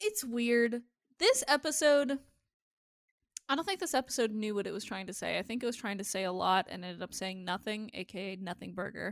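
Using an ordinary speaking voice, a woman speaks at a fairly quick pace. Her pitch is fairly high and her intonation lively. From Iowa, US Midwest. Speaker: podcast co-host. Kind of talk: casual chat.

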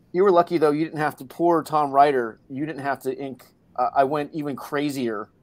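A man with an ordinary speaking voice talks at a fairly quick pace, fairly high in pitch and with fairly even intonation. The recording is very clean with a silent background. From Hawaii and Florida. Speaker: comic book artist. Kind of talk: casual chat.

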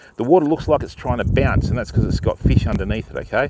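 Over light background noise, a man's voice comes through dry, with no echo. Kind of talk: casual live-stream explanation. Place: waterside. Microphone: phone near.

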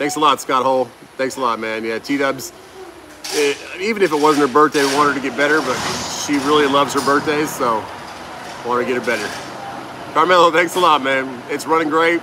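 Noticeable background noise runs under the speech. A man talks at a fairly quick pace with fairly even intonation. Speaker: truck driver vlogger. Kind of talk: casual livestream chat. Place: workshop. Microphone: phone near.

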